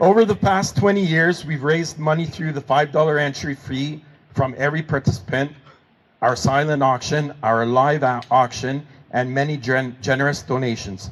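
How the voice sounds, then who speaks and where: A man speaks with a French accent at a fairly high pitch. His pace is moderate, with ordinary pitch variation. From Manitoba, Canada. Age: 50s. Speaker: hockey pool organizer, former corrections officer. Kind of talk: memorial speech.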